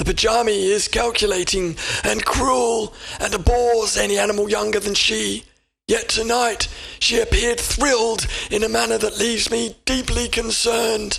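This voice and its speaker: Using a put-on character voice, a man speaks at a moderate pace and high pitch. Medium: read story. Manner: formal, measured.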